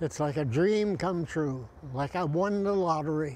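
Noticeable background noise accompanies a man speaking at a fairly slow pace with ordinary pitch variation, the sound dry with no echo. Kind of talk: interview answer. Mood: emotional, reflective. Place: beach.

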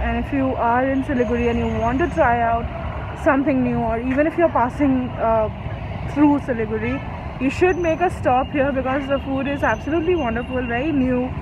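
A woman speaks with noticeable background noise. The sound is dry, with no echo. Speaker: food vlogger. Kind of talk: casual vlog chat. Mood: relaxed, pleased. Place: street. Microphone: phone near.

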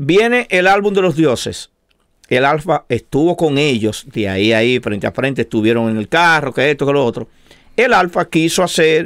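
The setting is quiet. A man's pitch swings very widely. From Dominican Republic. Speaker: show co-host. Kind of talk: casual debate. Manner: animated. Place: studio. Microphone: studio mic.

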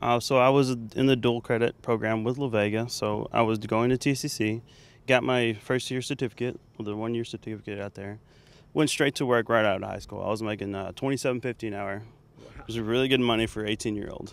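Fairly quick male speech with an American accent, fairly even intonation and big swings in loudness, in a dry sound with no echo. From Texas, Waco area. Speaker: welding teacher. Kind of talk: interview. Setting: outdoors. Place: open country. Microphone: handheld.

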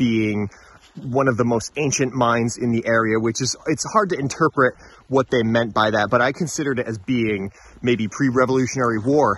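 The man talks at a moderate pace with ordinary pitch variation, in a dry sound with no echo. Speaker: local mine historian guide. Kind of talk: interview answer. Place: open country. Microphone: phone near.

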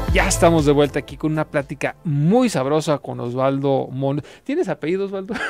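A man's fairly high voice at a fairly quick pace, ordinary pitch variation, dry sound with no echo, and faint music in the background. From Mexico, Guadalajara. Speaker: radio host. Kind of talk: radio interview. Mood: friendly, curious. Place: studio. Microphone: studio mic.

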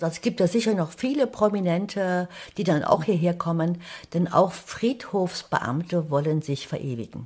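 A somewhat breathy woman with a fairly low pitch, lively intonation and a moderate pace. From Thuringia, eastern Germany. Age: 70s. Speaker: writer. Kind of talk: casual interview. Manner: animated.

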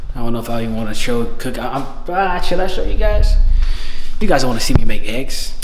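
Against noticeable background noise, a man delivers his words fairly quickly. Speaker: vlogger. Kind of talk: casual vlog chat. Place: home room. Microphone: phone near.

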